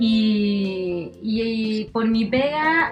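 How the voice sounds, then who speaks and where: Her pitch is fairly high for a woman, with ordinary pitch variation. Noticeable background noise runs underneath. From Chile, Curicó. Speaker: DJ and TV presenter. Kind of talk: casual chat. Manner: animated.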